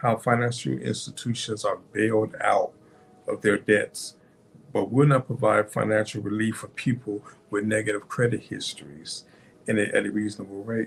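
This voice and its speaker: A man talks at a moderate pace with a fairly low pitch and ordinary pitch variation. Vocal fry runs through his voice. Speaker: author and podcaster. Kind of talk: book overview talk. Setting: podcast recording. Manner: halting, many ums.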